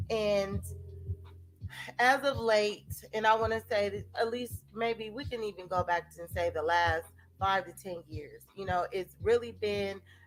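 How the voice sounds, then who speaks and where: This is a normal speaking voice from a woman, medium in pitch with ordinary pitch variation. She goes at a fairly slow pace. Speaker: self-help video host. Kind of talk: casual talk-to-camera monologue.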